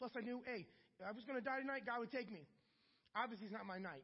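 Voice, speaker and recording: Very fast, lively speech in an American accent. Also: man. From US Midwest, Akron, Ohio. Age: 40s. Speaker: church member in recovery. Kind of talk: testimony. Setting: church.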